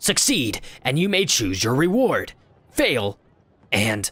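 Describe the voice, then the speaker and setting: Putting on a character voice, a man speaks fairly slowly at a fairly high pitch with very wide pitch swings. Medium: actual play. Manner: halting broken phrasing.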